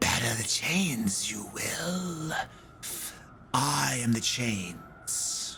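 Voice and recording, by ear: A man whispering in a put-on character voice at a very slow pace, with clear background noise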